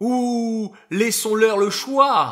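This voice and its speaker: A put-on character voice at a fairly high pitch. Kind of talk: soft, low murmur. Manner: honeyed, murmuring, insinuating.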